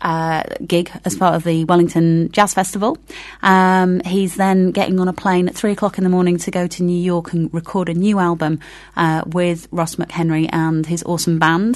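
A woman's fairly low, monotone, flat voice against a quiet background. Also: moderate pace. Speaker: community radio host. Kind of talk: casual chat. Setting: studio. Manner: hesitant, many fillers.

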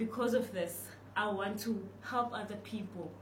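With audible room echo and noticeable background noise, a woman of medium pitch speaks at a fairly slow pace in a monotone, flat intonation. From South Africa, Cape Town (Delft). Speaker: university student scholarship recipient. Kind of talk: interview.

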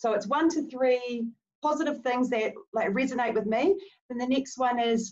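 A woman in a New Zealand accent, with ordinary pitch variation and a moderate pace. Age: 40s. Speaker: movement specialist. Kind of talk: casual chat.

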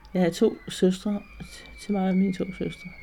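A somewhat breathy woman with a dark, mellow tone and medium pitch, at a moderate pace. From Denmark, Zealand near Roskilde Fjord. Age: 80s+. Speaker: weaver and textile artist. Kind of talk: interview. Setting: at home. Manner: halting.

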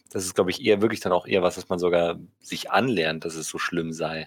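A man's normal speaking voice, with ordinary pitch variation. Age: 20s. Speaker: podcast co-host, philosophy student. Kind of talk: casual chat.

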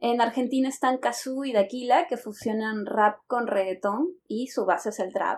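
A woman with a normal speaking voice and a fairly high pitch talks at a fairly slow pace, with ordinary pitch variation and hardly any pauses. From Lima, Peru. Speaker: Spanish teacher, podcast co-host. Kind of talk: casual language-learning conversation.

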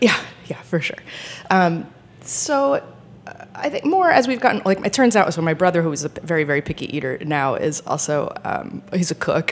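A woman speaks at a moderate pace with an American accent. Noticeable background noise can be heard. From Rhode Island, US. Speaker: sommelier. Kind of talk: casual chat. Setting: studio.

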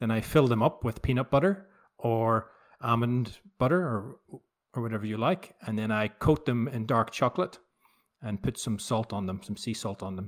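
A man with a Northern Irish accent, medium pitch, moderate pace and ordinary pitch variation. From Northern Ireland, Belfast. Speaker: novelist. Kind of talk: remote interview. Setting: remote call.

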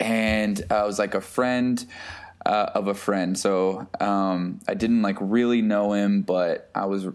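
Talking at a fairly slow pace, a man with an American accent has an unremarkable speaking voice, a fairly low pitch and fairly even intonation. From Texas, small town. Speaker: photographer and music curator. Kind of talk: casual chat.

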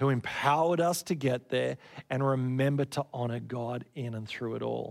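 A man speaks in an Australian accent. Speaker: pastor. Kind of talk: sermon. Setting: church.

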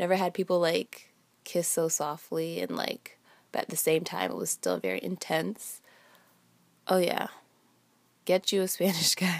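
At a fairly slow pace, a woman with a fairly low pitch speaks in an animated tone with vocal fry. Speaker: solo podcaster. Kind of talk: casual storytelling monologue. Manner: casual, animated, laughs often.

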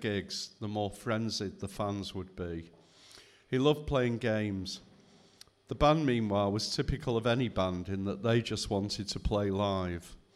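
A man speaks at a moderate pace with a fairly low pitch and an unremarkable speaking voice. His pitch rises and falls in an ordinary way. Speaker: photographer and author. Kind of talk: reading aloud. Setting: stage with audience.

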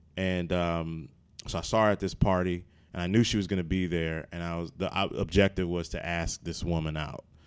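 In a very clean recording with a silent background, a man with an American accent talks fairly quickly in a very deep, low pitch and a monotone, flat intonation. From Maryland. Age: 30s. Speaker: comedian and actor. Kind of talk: casual chat. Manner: halting, many repetitions.

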